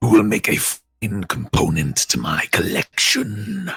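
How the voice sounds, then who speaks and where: Whispering in a raspy put-on character voice, a man goes at a fairly slow pace. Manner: taunting, menacing.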